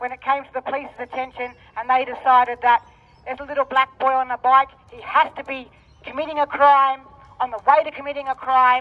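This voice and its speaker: At a very fast pace, a woman speaks in a high pitch with monotone, flat intonation. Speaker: speaker. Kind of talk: protest speech. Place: street.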